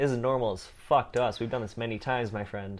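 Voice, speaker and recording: The speaker uses a plain, everyday voice at a fairly quick pace. The background is quiet. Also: man. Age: 20s. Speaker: podcast host. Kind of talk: casual chat. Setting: in person at home drinking tea.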